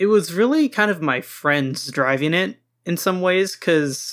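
Against a silent background on a very clean recording, a man speaks fairly slowly in a bright, sharp tone with ordinary pitch variation. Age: 20s. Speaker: YouTuber. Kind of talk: casual chat.

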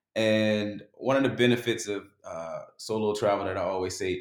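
A man with an American accent speaks at medium pitch, his pitch varying in an ordinary way. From West Baltimore, US. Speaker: travel blogger. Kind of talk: casual chat.

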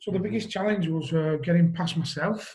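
Speaking in a Lancashire accent at a moderate pace, the voice shows ordinary pitch variation. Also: man. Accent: Wigan, northern English. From Wigan, northern England. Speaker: guest, mental health page founder. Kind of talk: casual interview conversation. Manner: halting, hesitant.

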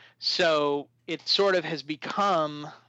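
A man with an American accent and a fairly high pitch has a plain, everyday voice with fairly even intonation. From US Midwest, Chicago suburbs. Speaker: company CEO. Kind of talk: interview. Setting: phone call.

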